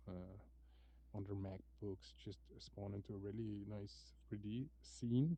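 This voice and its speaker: Speaking very slowly with a non-native accent, a man uses a fairly low pitch, very wide pitch swings and a somewhat breathy voice. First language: not English. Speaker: XR developer. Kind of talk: casual chat. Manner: halting.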